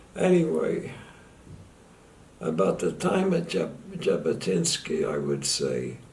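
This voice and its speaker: Speaking with an American accent, a man goes at a very slow pace with long, frequent pauses as room echo is audible. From US, Philadelphia. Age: 90s. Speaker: war veteran. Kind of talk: testimony. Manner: halting.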